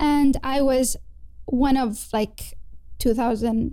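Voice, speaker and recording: Her voice is fairly high, yet this woman has a dark, mellow tone. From Kuwait. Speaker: dental trainee. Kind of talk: casual interview.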